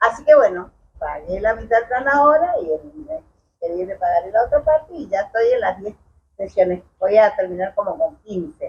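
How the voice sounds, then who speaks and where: Pitch swings very widely in this somewhat breathy voice. The pace is moderate. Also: woman, fairly high pitch for a woman. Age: 60s. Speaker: chiropractic patient. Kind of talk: testimony. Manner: halting.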